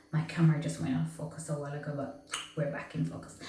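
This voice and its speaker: A woman's voice carries audible room echo. Noticeable background noise is present. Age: 40s. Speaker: lifestyle vlogger. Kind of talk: casual vlog monologue. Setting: home bathroom. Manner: animated, expressive.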